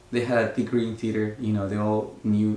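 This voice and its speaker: With a Mexican accent, a man speaks amid audible room echo. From Mexico, Oaxaca. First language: Spanish. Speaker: actor. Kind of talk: interview. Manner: hesitant, many fillers.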